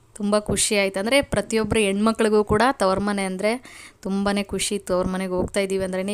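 On a very clean recording with a silent background, a woman speaks at a medium pitch with monotone, flat intonation. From rural Karnataka. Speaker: cooking and vlog youtuber. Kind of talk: vlog voice-over narration. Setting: home recording, voice-over. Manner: casual, halting.

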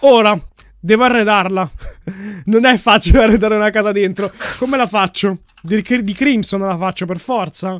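A man speaks with a high voice at a moderate pace, his pitch varying in an ordinary way. Long pauses come often, and the sound is dry with no echo against a quiet background. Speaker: gaming youtuber. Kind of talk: casual gameplay commentary.

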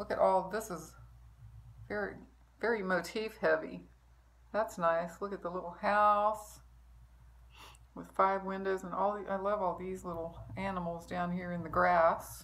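Speaking at a fairly slow pace in a flat monotone, a woman leaves long, frequent pauses. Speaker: needlework vlogger. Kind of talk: casual vlog chat. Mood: warm, admiring. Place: home room. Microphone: phone near.

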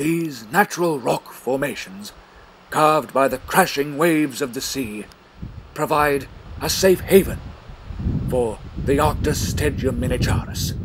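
A man talks at a fairly high pitch with ordinary pitch variation. His pace is fairly slow, broken by long, frequent pauses. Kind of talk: scripted mock nature-documentary narration.

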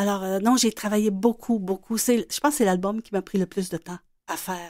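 A woman talks in an ordinary speaking voice at a medium pitch, with ordinary pitch variation and a moderate pace. The sound is dry and close with no echo, on a very clean recording with a silent background. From Quebec City. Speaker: children's illustrator and author. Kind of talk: radio interview.

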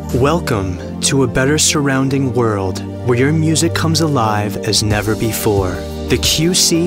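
The recording is dry and echo-free, with clear music playing behind. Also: man. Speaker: voice actor. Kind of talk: TV commercial read. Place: booth.

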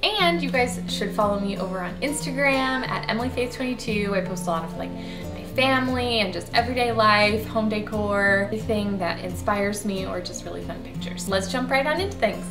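Over clear music in the background, a woman talks at a fairly quick pace with hardly any pauses. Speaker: home decor vlogger. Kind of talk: casual vlog chat. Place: home room.

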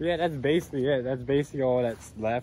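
A man speaks with ordinary pitch variation. The sound is dry with no echo, with light background noise. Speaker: explorer vlogger. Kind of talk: casual vlog chat. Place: forest. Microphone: phone near.

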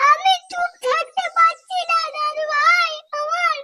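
A man performs a cartoonish character voice at an extremely high pitch with a bright, sharp tone. He goes at a slow pace with fairly even intonation.

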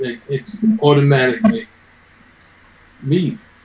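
In a room with audible echo, a man with a fairly high voice makes very wide pitch swings. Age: 70s. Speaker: retired bodybuilder. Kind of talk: interview answer. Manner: hesitant, conversational. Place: office. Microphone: video call.

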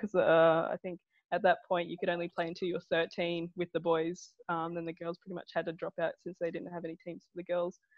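In an Australian accent, a woman with a fairly low pitch speaks at a very fast pace with monotone, flat intonation and big swings in loudness, the sound dry with no echo over a quiet background. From Wagga Wagga, New South Wales, Australia. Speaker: professional football goalkeeper. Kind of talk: podcast interview answer. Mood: relaxed, friendly. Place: home room. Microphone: earbuds.

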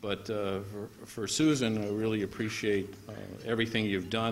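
An ordinary speaking voice from a man, fairly low in pitch, at a moderate pace over light background noise. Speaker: guest. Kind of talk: formal speech remarks. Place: hall. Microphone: podium.

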